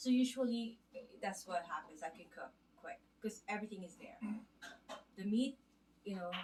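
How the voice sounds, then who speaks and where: Somewhat breathy and with big swings in loudness, the speaker uses a Filipino accent, a moderate pace, ordinary pitch variation and long, frequent pauses. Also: woman, medium pitch for a woman. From Philippines. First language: Filipino (Tagalog). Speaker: home cook vlogger. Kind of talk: casual vlog tutorial. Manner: halting, many fillers.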